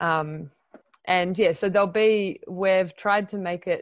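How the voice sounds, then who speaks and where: This is an ordinary speaking voice at a fairly slow pace. The intonation is fairly even. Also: woman. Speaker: workshop facilitator. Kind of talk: workshop facilitation. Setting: video call.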